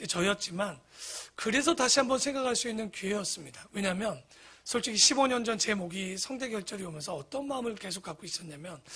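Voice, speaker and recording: A man talks at a fairly quick pace in a high pitch with lively intonation and a bright, sharp tone. The recording is very clean, with a silent background. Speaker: pastor. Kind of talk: sermon. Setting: church.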